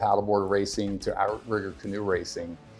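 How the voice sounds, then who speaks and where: Over music in the background, a man with an American accent talks at a fairly quick pace with a fairly low pitch and monotone, flat intonation. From New Jersey, US. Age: 60s. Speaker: fitness coach. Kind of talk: interview monologue.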